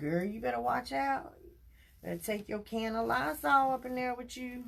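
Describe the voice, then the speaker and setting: Somewhat breathy and animated, a woman at medium pitch talks at a moderate pace with very wide pitch swings. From South Carolina. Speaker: crafter livestreamer. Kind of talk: live craft tutorial with chat. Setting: livestream.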